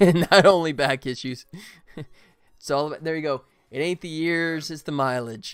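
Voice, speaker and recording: A man with a fairly high voice speaks at a moderate pace, his loudness swinging widely and his pitch varying in an ordinary way. He leaves long, frequent pauses while music plays in the background. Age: 20s. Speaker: indie game developer streamer. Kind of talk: casual chat.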